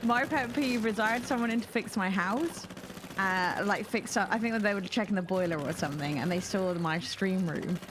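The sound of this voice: Lively intonation marks this woman's speech in a strong British accent, with noticeable background noise behind her. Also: medium pitch for a woman, moderate pace. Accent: thick regional British.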